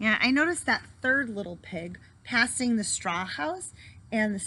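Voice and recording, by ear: The intonation here is lively. A voice reads aloud in a natural way.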